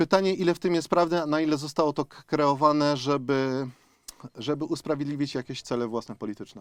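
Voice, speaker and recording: The sound is dry and close, with no echo. A man with a fairly high pitch talks at a very fast pace, using ordinary pitch variation. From Upper Silesia, Poland (Zabrze). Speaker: mayoral candidate, former city official. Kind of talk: radio interview. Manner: hesitant, with fillers and repetitions.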